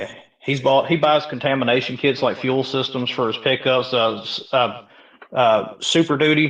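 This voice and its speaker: A man with a Southern US accent. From US South (Mississippi). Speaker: salesman, crypto community member. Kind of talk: casual chat. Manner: halting.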